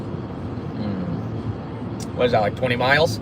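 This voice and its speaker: A man speaks with a New Jersey accent. Audible room echo and noticeable background noise accompany him. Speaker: pigeon racer livestreaming. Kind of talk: casual livestream chat.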